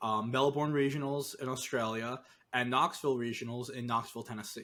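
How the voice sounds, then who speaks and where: A man with a Northeastern US accent, medium in pitch, bright and sharp in tone, fairly quick, with monotone, flat intonation. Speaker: podcast co-host, competitive Pokemon analyst. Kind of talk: casual chat.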